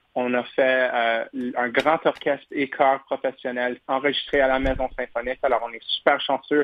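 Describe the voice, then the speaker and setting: A man speaks at medium pitch and a fairly slow pace. His intonation is monotone and flat. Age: 20s. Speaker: opera tenor singer. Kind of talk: radio interview. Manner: halting.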